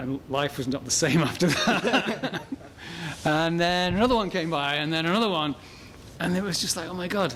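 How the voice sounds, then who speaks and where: Against noticeable background noise, a man with an English accent speaks at a moderate pace in a high voice with ordinary pitch variation. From England. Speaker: motorsport parts business owner and rally driver. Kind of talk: casual interview. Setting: his shop. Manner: halting, repeats words.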